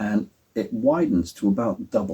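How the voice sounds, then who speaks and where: A man speaks with an English accent. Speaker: prop maker and cosplay vlogger. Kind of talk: tutorial. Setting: at home. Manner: soft-spoken; halting.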